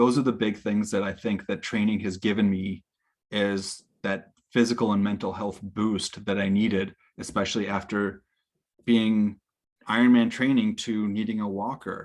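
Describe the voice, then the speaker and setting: The speaker has an American accent and monotone, flat intonation. The recording is very clean with a silent background. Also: man, fairly low pitch for a man, moderate pace. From United States. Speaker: Ironman triathlete and COVID survivor. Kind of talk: personal testimony talk.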